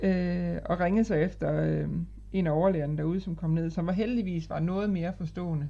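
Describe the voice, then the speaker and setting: A woman speaks at a moderate pace. Her voice is fairly low, with a dark, mellow tone. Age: 30s. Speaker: patient with rheumatoid arthritis, manager. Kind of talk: casual interview.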